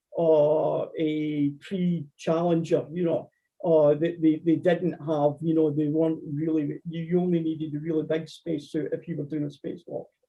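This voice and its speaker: Speaking in a Scottish accent, a man uses a high pitch at a moderate pace with hardly any pauses. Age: 60s. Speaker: amateur astronomer lecturer. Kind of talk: Q&A after lecture. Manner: halting, repeats words.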